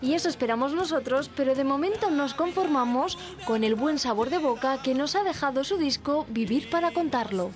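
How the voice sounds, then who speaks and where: Over noticeable background noise, a woman talks at a high pitch. Her intonation is lively. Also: moderate pace. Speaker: TV reporter. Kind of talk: TV news report narration.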